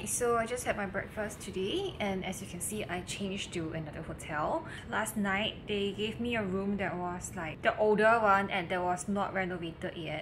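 The speech runs at a moderate pace with hardly any pauses and ordinary pitch variation, over light background noise. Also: woman. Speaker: beauty vlogger. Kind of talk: casual vlog chat. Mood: relaxed and cheerful. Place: home room. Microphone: phone near.

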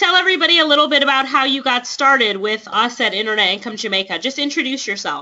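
A woman at a high pitch with lively intonation, talking at a very fast pace with hardly any pauses. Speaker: webinar host. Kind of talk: online training webinar. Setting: online webinar with chat box.

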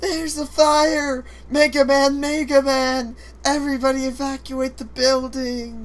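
This man uses a put-on character voice pitched extremely high, at a moderate pace. Background noise is clearly present.

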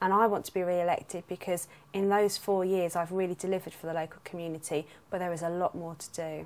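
Delivered at a very fast pace, the speech has monotone, flat intonation and a London accent. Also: woman, fairly low pitch for a woman. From South London. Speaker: local councillor and nurse. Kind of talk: campaign statement.

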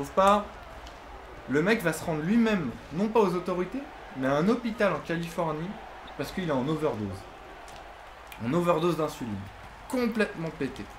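A man with a high pitch talks at a fairly quick pace, his pitch swinging very widely, with long, frequent pauses and noticeable background noise. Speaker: YouTuber and basketball fan; gaming channel host. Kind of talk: casual chat. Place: home room.

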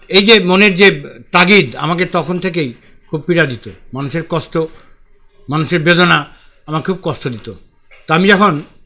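Bright and sharp in tone, a man's high-pitched voice moves with ordinary pitch variation. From Bangladesh, Chuadanga; Bangladesh. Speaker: poet and retired mill executive; poet. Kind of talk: interview. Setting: outdoors, public library. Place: home room.

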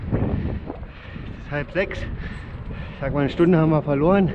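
Ordinary pitch variation in a man's speech, set against noticeable background noise. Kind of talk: casual vlog chat. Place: bicycle. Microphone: phone near.

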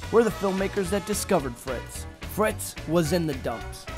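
Background music can be heard. Over it, a man delivers his words at a moderate pace. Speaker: filmmaker. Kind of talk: documentary trailer narration.

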